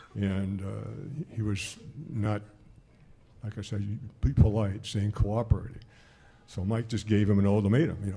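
A man speaks at a moderate pace with fairly low pitch and fairly even intonation. His tone is dark and mellow, somewhat breathy, with long, frequent pauses. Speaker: retired former college basketball player. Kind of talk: casual chat. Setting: live broadcast from a lounge with audience.

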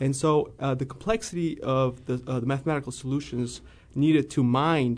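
Fairly quick speech from a man at medium pitch, ordinary pitch variation, quiet background. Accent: American. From US Midwest, central Illinois. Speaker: financial analyst. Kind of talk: radio interview.

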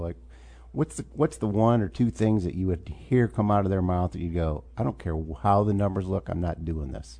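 With an American accent, a man speaks in a very deep, low, dark and mellow voice, using very wide pitch swings over a quiet background. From central Illinois. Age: 60s. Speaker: talk show host. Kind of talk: interview.

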